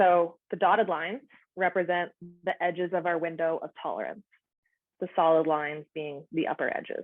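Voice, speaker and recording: At a moderate speed, a woman speaks in a plain, everyday voice. Her intonation stays fairly even, and her pitch sits fairly low. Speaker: outdoor educator and counsellor. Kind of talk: presentation.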